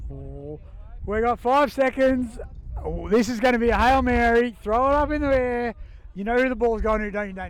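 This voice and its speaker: A man with an Australian accent speaks at a moderate pace, his pitch extremely high. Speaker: sports commentator. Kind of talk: live commentary. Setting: outdoors. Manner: loud; animated.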